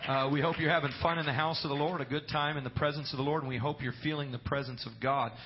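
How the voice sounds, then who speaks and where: A man talks at a very fast pace with hardly any pauses and a fairly high pitch. His intonation stays fairly even over noticeable background noise. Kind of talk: fervent prayer before a congregation, with calls to amen. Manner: earnest, rolling, with praise-filled repetition of 'Lord' and 'Jesus'.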